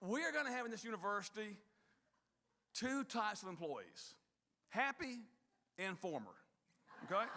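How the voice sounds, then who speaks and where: A man projects a raised, bright, sharp voice at a high pitch and moderate pace. His intonation is lively, broken up by long, frequent pauses. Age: 60s. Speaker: university leader. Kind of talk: speech to staff.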